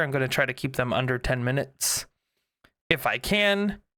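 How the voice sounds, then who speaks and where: In a very clean recording with a silent background, a man speaks at a moderate pace with lively intonation and a bright, sharp tone. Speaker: YouTube content creator. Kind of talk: casual channel update. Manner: halting, many fillers; unscripted, conversational.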